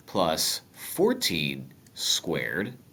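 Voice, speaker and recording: Very slowly, a man speaks at a very deep, low pitch with a bright, sharp tone and vocal fry. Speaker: math teacher. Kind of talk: tutorial. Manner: casual, joking.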